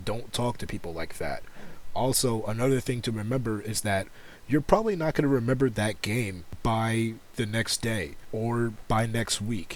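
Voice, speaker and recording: A man's ordinary speaking voice, medium in pitch, with an American accent and a moderate pace. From United States. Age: 20s. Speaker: gaming YouTuber and streamer. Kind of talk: casual commentary video.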